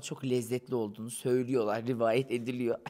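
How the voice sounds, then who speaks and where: His tone is dark and mellow. The man keeps to a moderate pace. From Turkey, Konya; Turkey. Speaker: interviewee, guest. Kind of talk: casual street interview; interview answer. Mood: playful, teasing. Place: cafe. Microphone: handheld.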